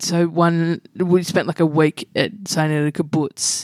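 In a dry, close sound with no echo, a woman with an Australian accent speaks with a fairly low pitch and fairly even intonation. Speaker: comedian and radio host. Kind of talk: casual interview chat. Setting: home living room.

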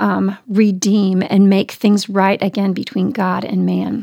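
Speaking fairly slowly, a woman with medium pitch has an ordinary speaking voice. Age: 40s. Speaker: Bible teacher. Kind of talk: casual chat.

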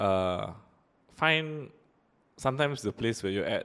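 Speaking very slowly with a Singaporean accent, a man shows ordinary pitch variation. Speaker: podcast host. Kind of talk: casual chat.

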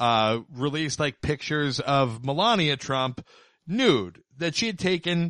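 A man's ordinary speaking voice, fairly high in pitch with lively intonation, at a fairly slow pace, dry and close with no echo, over a quiet background. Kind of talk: casual chat.

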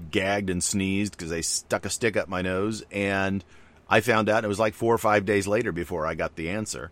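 Fairly low in pitch with fairly even intonation, this man has an unremarkable speaking voice. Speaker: podcast host. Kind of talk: casual chat.

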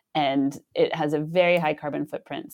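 A woman with a West Coast US accent, fairly low in pitch, dark and mellow in tone, at a moderate pace on a very clean recording with a silent background. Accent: General American (West Coast). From US, Northern California (Sonoma). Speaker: sustainability scientist, professor. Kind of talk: interview.

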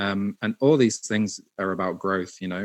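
A man's fairly low voice at a moderate pace, with ordinary pitch variation and a dry, close sound with no echo. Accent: British. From UK. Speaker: internet pioneer and marketer. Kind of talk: casual interview. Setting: studio.

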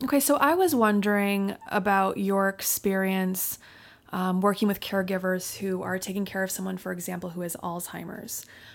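A woman talks at a moderate pace and a medium pitch, with fairly even intonation. It is a plain, everyday voice. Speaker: podcast host and psychotherapist. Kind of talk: interview conversation.

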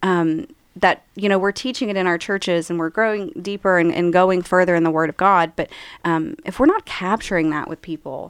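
On a very clean recording with a silent background, a woman speaks fairly quickly with an Appalachian accent, her fairly low pitch showing ordinary variation. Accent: Appalachian American. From rural West Virginia. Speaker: author and church member. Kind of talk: casual interview.

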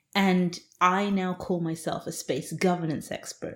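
Somewhat breathy, a woman is heard on a very clean recording with a silent background. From England. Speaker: space law professor. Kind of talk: interview.

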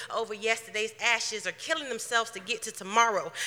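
A woman speaks at a high pitch and a fairly quick pace. Noticeable background noise is present. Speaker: poet performing at open mic. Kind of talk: spoken word poetry performance.

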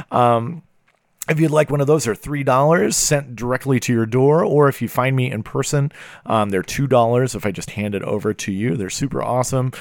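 In an ordinary speaking voice with an American accent, a man talks at a fairly quick pace and medium pitch with ordinary pitch variation, on a very clean recording with a silent background. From small town in Pennsylvania. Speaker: podcast host and keyboardist. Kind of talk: podcast monologue; casual interview chat. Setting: in person in guest's basement studio.

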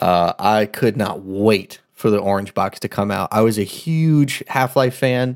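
A man's plain, everyday voice, fairly low and fairly slow, with ordinary pitch variation and hardly any pauses, on a very clean recording with a silent background and a dry, close sound without echo. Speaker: podcast co-host. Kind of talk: casual banter, joking. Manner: jokey, playful.

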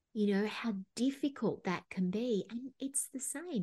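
Against a quiet background, a woman speaks at a fairly slow pace in a dark, mellow tone. Her voice is somewhat breathy, with ordinary pitch variation. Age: 50s. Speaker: psychotherapist and life coach. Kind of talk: interview.

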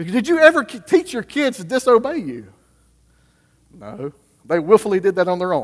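A high-pitched man speaks with very wide pitch swings, big swings in loudness, and long, frequent pauses. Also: moderate pace. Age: 30s. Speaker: pastor. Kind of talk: sermon. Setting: church.

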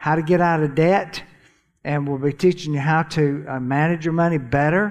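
With a Southern US accent, this man's voice sits fairly high in pitch. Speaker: church finance speaker. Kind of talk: church teaching session.

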